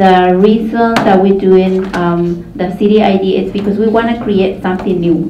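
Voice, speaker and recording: Speaking in a Mexican accent with monotone, flat intonation, a woman keeps a moderate pace, with audible room echo and noticeable background noise. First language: Mazahua. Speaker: community organizer. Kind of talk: panel discussion. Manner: halting.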